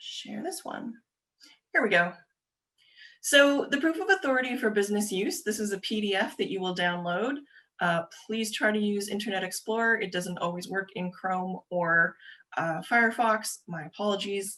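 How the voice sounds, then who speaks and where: A woman's medium-pitched voice with a bright, sharp tone, a Canadian accent, lively intonation and a moderate pace. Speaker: government agency presenter. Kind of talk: webinar presentation. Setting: video call.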